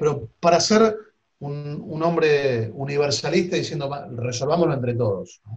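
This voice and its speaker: Somewhat breathy and fairly high in pitch, a man speaks at a fairly slow pace with lively intonation. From Argentina. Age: 50s. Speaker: politician. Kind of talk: interview.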